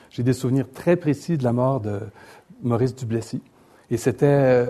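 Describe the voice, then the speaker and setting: A man of medium pitch with a dark, mellow tone. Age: 60s. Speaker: economist and newspaper columnist. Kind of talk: lecture. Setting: stage with audience.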